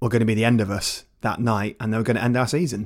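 A man speaks at a medium pitch with fairly even intonation and a very fast pace. The recording is very clean, with a silent background. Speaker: podcast host. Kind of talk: casual football chat.

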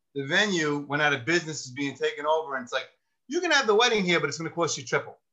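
Here a man speaks with a New York accent. His pitch is fairly high. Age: 50s. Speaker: retired police sergeant turned lawyer. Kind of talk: casual chat. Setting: video call.

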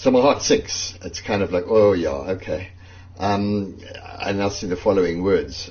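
At a moderate pace, a man with a fairly low pitch, ordinary pitch variation and an unremarkable speaking voice talks. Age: 60s. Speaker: journalist. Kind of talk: personal testimony.

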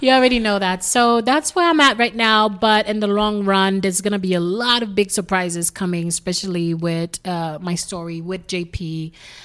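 A woman speaks with a Haitian accent. Her pace is moderate. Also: medium pitch for a woman, ordinary pitch variation. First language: Haitian Creole. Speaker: singer. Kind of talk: casual chat. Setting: at home.

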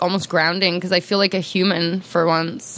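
A woman speaks over noticeable background noise. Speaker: podcast guest. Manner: fast talker.

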